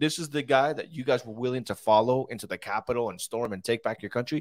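On a very clean recording with a silent background, the sound is dry and close with no echo. A man with a Spanish accent speaks at a fairly quick pace in an animated tone. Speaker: political commentary show host. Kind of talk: casual political commentary livestream. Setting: studio livestream. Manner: animated, laughs often.

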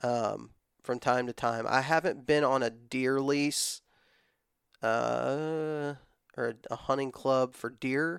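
On a very clean recording with a silent background, a man in a Texan accent talks at a very slow pace with a medium pitch and fairly even intonation. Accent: Texan Southern US. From West Texas. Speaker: hunting content creator. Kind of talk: casual chat.

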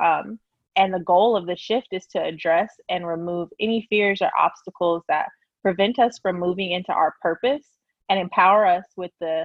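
With an American accent, a woman speaks in a normal speaking voice at medium pitch, keeping a moderate pace and fairly even intonation. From Oklahoma, US. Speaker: engineer and podcaster. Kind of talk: casual interview.

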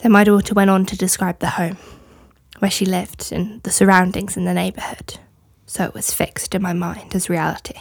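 A woman's normal speaking voice, medium in pitch, at a fairly quick pace with fairly even intonation. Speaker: guest reader. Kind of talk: dramatic reading of trial testimony.

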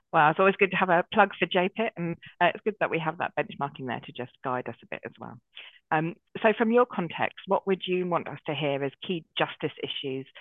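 The speaker talks at a fairly quick pace in a southern English accent. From southern England, Brighton. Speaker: Methodist deacon and podcast host. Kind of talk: podcast interview.

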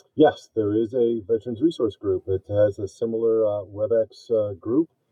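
In an American accent, a man talks at a fairly slow pace in an ordinary speaking voice. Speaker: navy veteran and project manager. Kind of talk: casual interview.

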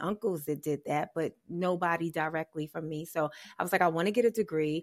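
Heard on a very clean recording with a silent background, a woman with an American accent has a plain, everyday voice. She speaks at a moderate pace and a fairly low pitch with fairly even intonation. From New York, Harlem. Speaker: stand-up comedian and actress. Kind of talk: interview.

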